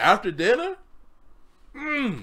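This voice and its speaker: A man projects a raised voice with a bright, sharp tone. He keeps a moderate pace over a quiet background. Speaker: music reaction creator. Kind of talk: casual reaction commentary. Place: home room.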